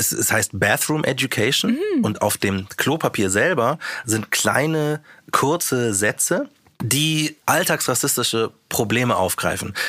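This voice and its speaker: Speaking at a fairly slow pace, a man uses lively intonation and a bright, sharp tone. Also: medium pitch for a man. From Bavaria, small town near Munich. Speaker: rapper and radio presenter. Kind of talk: casual interview.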